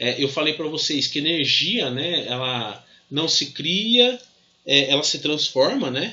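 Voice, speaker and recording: Over noticeable background noise, a man with a Brazilian accent speaks fairly slowly with lively intonation. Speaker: physics teacher. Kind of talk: lecture. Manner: halting, many fillers.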